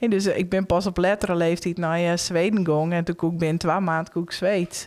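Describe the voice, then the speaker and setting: With a Frisian accent, a woman talks at a fairly quick pace in a fairly low pitch, her intonation monotone and flat. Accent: Frisian-accented Dutch. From Friesland, Netherlands. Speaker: Frisian language educator. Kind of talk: casual podcast interview. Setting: live event recording amid crowd.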